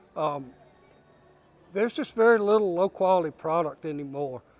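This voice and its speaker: Over music in the background, a man with a high pitch talks at a fairly quick pace with ordinary pitch variation. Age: 60s. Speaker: cattle industry leader. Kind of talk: news interview.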